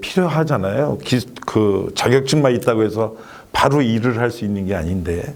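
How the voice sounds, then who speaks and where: The intonation is lively, at a moderate pace. It is an unremarkable speaking voice. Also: man. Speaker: resettlement center director. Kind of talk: talk show guest discussion.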